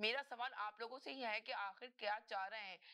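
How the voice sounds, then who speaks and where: Bright and sharp, a woman's fairly high voice moves at a moderate pace with ordinary pitch variation. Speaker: talk show host. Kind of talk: live call-in political talk show.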